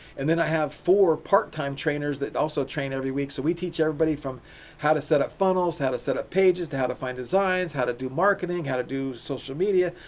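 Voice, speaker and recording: A man with an unremarkable speaking voice talks at a fairly quick pace and a fairly high pitch. His pitch varies in an ordinary way, and the background is quiet. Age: 60s. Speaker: e-commerce company founder and CEO. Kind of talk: interview.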